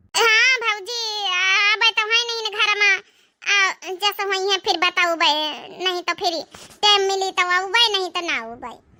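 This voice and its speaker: An extremely high-pitched, cartoonish character voice moves at a moderate pace. Long pauses come often. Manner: reluctant, mournful.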